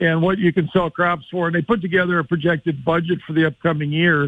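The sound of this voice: A man speaks in a high pitch with fairly even intonation.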